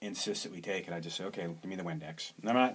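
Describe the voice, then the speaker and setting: A man is speaking. His voice sits very deep and low. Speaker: alternative health practitioner. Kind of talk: casual monologue. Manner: hesitant, many fillers.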